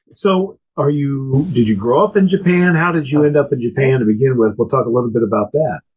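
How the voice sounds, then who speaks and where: A man with an American accent and a fairly high pitch speaks at a fairly quick pace, his intonation lively, his voice somewhat breathy and his loudness very even. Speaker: podcast co-host. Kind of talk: interview.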